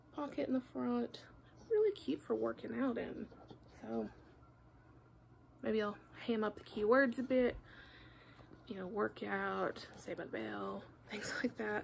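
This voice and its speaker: A woman at a fairly slow pace, with long, frequent pauses and light background noise. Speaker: online reseller. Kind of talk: casual haul vlog chat. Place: home room. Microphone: phone near.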